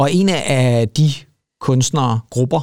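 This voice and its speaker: A man speaks at a medium pitch with ordinary pitch variation, recorded in a dry, close sound with no echo. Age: 40s. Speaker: music podcast co-host. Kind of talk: casual chat. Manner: halting.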